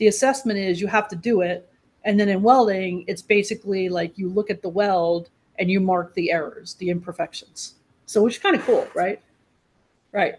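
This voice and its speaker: A woman's plain, everyday voice in an American accent, medium pitch, moderate pace and ordinary pitch variation. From New York. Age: 60s. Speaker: trade school executive. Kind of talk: podcast interview.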